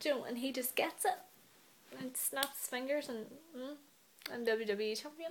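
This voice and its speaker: With a high pitch and ordinary pitch variation, a woman talks at a moderate pace with long, frequent pauses over noticeable background noise. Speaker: wrestling vlogger. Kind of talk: casual vlog commentary. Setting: in bed at home. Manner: animated.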